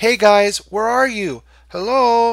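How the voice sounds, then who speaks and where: A put-on character voice at a fairly high pitch comes through on a very clean recording with a silent background. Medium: read story. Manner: loud, exuberant.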